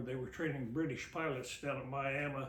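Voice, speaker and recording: Speaking at a moderate pace with a Midwestern US accent, the voice carries audible room echo. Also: man. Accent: rural Midwestern American. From Kansas, West Mineral. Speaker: local elder recounting family history. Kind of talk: oral history interview. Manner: halting.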